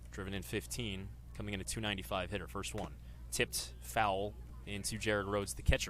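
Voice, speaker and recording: A man speaks at a moderate pace. His voice carries vocal fry. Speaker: sports broadcaster. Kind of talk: baseball radio play-by-play.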